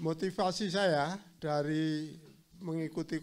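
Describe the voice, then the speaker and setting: A man's voice with fairly high pitch and fairly even intonation. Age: 60s. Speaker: agriculture training participant, retired accountant. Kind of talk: self-introduction in a group. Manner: halting.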